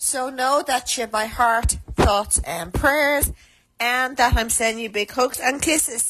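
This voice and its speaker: Very slow, high-pitched woman's voice, raised and projected, with music in the background. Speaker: caller leaving shout-out to prisoner. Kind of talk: recorded phone shout-out message.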